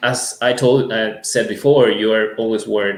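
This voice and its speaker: This is a man speaking. He has a Latin American accent. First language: Spanish. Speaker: music school owner. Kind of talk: interview. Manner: hesitant, many fillers.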